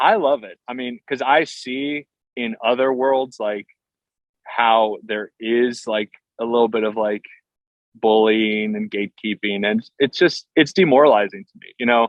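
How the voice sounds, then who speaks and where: A man with an American accent, an unremarkable speaking voice, medium pitch, ordinary pitch variation, a fairly slow pace and big swings in loudness. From southeast Pennsylvania, US. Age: 30s. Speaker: steel guitarist. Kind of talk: podcast interview. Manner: casual, many fillers and restarts.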